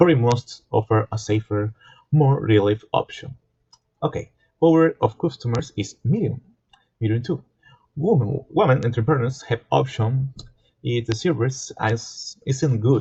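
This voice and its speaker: A man with a non-native accent speaks at a medium pitch, fairly slow and somewhat breathy, with long, frequent pauses. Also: ordinary pitch variation. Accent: non-native, self-described poor pronunciation. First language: Spanish. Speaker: student. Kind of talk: class presentation. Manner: halting, self-correcting.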